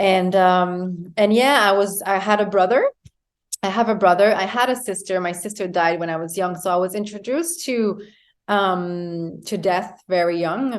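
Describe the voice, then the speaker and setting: With a French Canadian accent, a woman speaks at a medium pitch and moderate pace, her intonation fairly even. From Quebec, Canada. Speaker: yoga teacher and wellness coach. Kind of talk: interview conversation. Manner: halting, many fillers.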